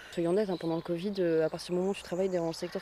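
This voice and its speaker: Noticeable background noise sits under a woman speaking at a medium pitch. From northern France, Béthune area. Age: 20s. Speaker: eco-project co-founder, actress and musician. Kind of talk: interview.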